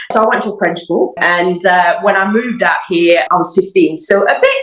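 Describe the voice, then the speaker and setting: Over noticeable background noise, a woman speaks at medium pitch with ordinary pitch variation. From Mauritius. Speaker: dog groomer. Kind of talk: interview.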